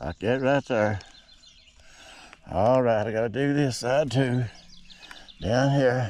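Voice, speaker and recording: In an Appalachian accent, a man talks at a fairly slow pace. His medium pitch shows ordinary variation. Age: 60s. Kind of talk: casual how-to demonstration. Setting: outdoors. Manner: casual, folksy.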